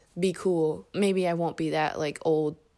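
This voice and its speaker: A woman speaks with a Midwestern American accent at a fairly low pitch. Her tone is dark and mellow. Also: very clean recording, silent background. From Indianapolis, Indiana. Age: 20s. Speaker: podcast host. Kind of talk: casual monologue. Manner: talkative.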